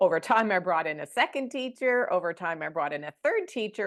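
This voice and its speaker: Over a quiet background, an ordinary speaking voice moves at a fairly quick pace with lively intonation. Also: woman. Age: 60s. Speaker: doula trainer and childbirth educator. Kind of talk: vlog monologue. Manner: casual.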